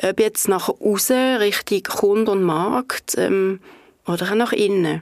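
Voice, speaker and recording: This woman's pitch is medium. She talks very slowly. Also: ordinary pitch variation. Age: 50s. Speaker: head of marketing at an energy company. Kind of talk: podcast interview. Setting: studio.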